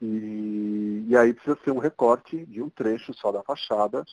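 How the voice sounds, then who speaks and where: A man at medium pitch, very slow in pace, with ordinary pitch variation and a dry, close sound with no echo. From São Paulo, Brazil (Zona Norte). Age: 40s. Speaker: architect. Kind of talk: interview.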